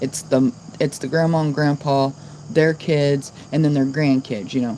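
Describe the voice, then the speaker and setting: Her intonation fairly even, a woman talks at a very deep, low pitch. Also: moderate pace. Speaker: live streamer. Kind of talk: casual chat. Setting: livestream. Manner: monotone.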